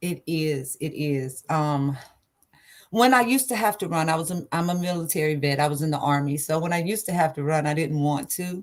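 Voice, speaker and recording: Here a woman talks in an East Texas accent at a very deep, low pitch. She moves at a fairly quick pace. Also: ordinary pitch variation. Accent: Southern US (East Texas). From East Texas (Liberty, near Houston). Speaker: singer, military veteran. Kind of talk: interview.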